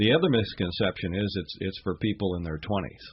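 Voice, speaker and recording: The speaker is a man with a fairly low pitch. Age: 60s. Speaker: scuba diving instructor. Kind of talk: radio interview. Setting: radio studio. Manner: halting, many fillers and repetitions.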